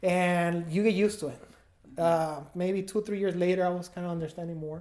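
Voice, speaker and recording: A man with a Mexican accent at a very fast pace, high-pitched, with fairly even intonation. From Mexico, Guadalajara. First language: Spanish. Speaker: food business owner, former music industry worker. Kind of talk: podcast interview.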